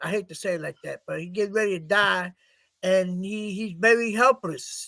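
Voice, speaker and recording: With a raised, projected voice, a man speaks at a moderate pace and high pitch, his bright, sharp tone carrying fairly even intonation and big swings in loudness. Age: 70s. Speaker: political party leader. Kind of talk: casual chat. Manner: halting.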